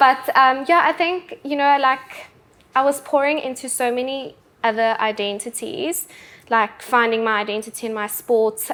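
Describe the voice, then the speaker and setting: A woman talks with a South African accent. Her pace is moderate and her pitch varies in an ordinary way. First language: Afrikaans. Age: 20s. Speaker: bodybuilder and personal trainer. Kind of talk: casual interview. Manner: hesitant pauses.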